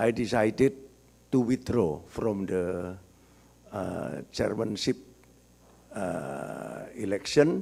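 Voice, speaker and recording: A man with a dark, mellow tone and fairly low pitch speaks at a very slow pace with vocal fry, lively intonation and long, frequent pauses. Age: 70s. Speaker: business author and marketing expert. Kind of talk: talk at book discussion.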